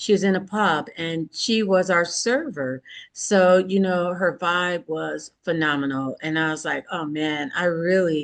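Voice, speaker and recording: Against a quiet background, a woman with an American accent speaks in a normal speaking voice at medium pitch and a fairly slow pace. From Michigan. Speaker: podcast host. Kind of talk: casual interview chat. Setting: virtual studio.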